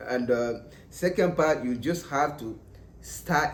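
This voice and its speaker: A man talks with a non-native accent and ordinary pitch variation. Audible room echo surrounds the voice. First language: not English. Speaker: English learner vlogger. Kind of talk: casual tutorial. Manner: halting, repetitive.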